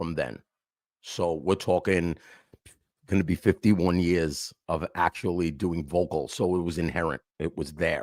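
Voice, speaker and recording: A man with a New York accent speaks at a moderate pace in a very deep, low voice. The recording is very clean and silent behind him, with a dry, close sound and no echo. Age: 50s. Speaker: hardcore and hip hop vocalist. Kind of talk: casual interview.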